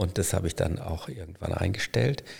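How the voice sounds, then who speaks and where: Vocal fry runs through this man's voice at a moderate pace. The recording is very clean, with a silent background. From Germany, Münster (Westphalia). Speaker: hospital physician, former anaesthetist. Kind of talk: casual interview. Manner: hesitant, many fillers.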